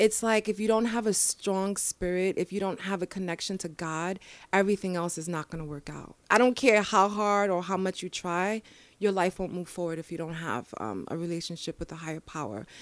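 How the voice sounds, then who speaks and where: A woman speaks at medium pitch in a New York accent, fairly quickly, with ordinary pitch variation and big swings in loudness. The recording is very clean, with a silent background. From New York, the Bronx. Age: 30s. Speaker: mental health advocate. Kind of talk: casual interview. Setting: studio. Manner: animated.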